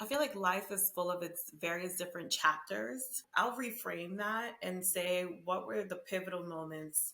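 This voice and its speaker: Lively intonation carries this voice, which has a Spanish accent and moves at a moderate pace. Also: woman, medium pitch for a woman. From Honduras, raised in the US. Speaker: marketing and diversity consultant. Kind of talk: podcast interview.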